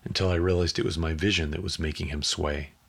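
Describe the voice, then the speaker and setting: A man speaks in a somewhat breathy voice. His intonation is monotone and flat. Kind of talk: audiobook narration of a literary short story, read aloud.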